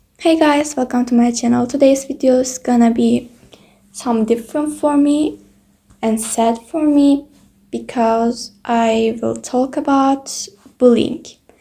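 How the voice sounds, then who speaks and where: A woman's high voice with a dark, mellow tone, fairly even intonation and a very slow pace. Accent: non-native. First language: not English. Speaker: YouTuber. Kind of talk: personal testimony vlog.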